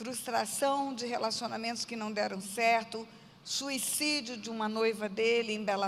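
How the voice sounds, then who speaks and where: A woman with a plain, everyday voice speaks at a fairly slow pace. Her pitch is fairly high and her intonation fairly even. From Brazil, Mato Grosso do Sul (Aquidauana). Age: 60s. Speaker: pastor. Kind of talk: testimony.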